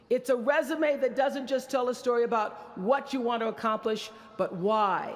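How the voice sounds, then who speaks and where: Through noticeable background noise, a woman speaks at a high pitch with ordinary pitch variation and very even loudness. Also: moderate pace. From rural Mississippi. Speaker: media mogul and talk show host. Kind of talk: commencement speech.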